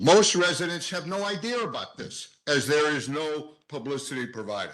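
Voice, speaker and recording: Amid audible room echo, a man with a fairly high-pitched voice talks at a moderate pace with lively intonation. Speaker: public commenter at council meeting. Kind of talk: public comment. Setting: council meeting with microphone. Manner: loud, projecting.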